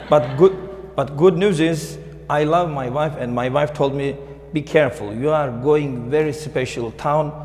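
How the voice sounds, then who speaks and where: A man with a Turkish accent speaks at a fairly slow pace. There is noticeable background noise and audible room echo. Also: fairly high pitch for a man, ordinary pitch variation. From Turkey, Istanbul. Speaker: librarian. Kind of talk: panel talk. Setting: town hall audience.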